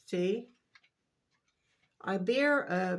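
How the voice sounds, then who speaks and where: This is a woman with an American accent. Her pitch varies in an ordinary way. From US South, Jacksonville, Florida. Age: 60s. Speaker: vlogger. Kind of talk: casual monologue.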